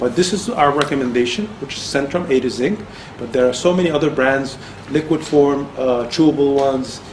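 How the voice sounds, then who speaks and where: A man talks at a fairly quick pace with ordinary pitch variation. Light background noise and audible room echo come through. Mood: friendly, reassuring. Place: office. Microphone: camera far.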